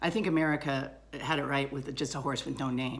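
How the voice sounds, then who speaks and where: Audible room echo is present in this recording. A woman speaks at a moderate pace, her pitch varying in an ordinary way. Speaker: vlogger. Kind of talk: casual monologue. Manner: hesitant.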